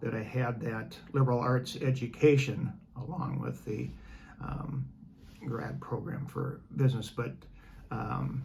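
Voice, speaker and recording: This man's fairly slow speech is broken by long, frequent pauses, with audible room echo and noticeable noise in the background. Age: 70s. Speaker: retired businessman and former teacher. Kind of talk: interview. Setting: in person, travelling in England. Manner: halting.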